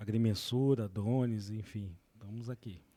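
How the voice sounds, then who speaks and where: A man speaks at a very slow pace in a fairly low pitch. His tone is dark and mellow, with ordinary pitch variation. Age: 30s. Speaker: environmental management technologist, drone surveyor. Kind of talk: interview.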